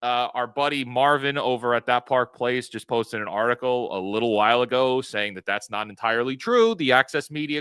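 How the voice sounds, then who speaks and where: A loud man's voice, bright and sharp in tone, dry and close with no echo, on a very clean recording with a silent background. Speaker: YouTube commentator. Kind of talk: live stream commentary.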